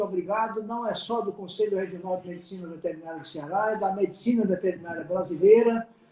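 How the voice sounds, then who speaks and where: Noticeable background noise runs under a man's voice. He speaks at a fairly quick pace with ordinary pitch variation. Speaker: veterinary council president. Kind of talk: live stream closing remarks. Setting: online live stream.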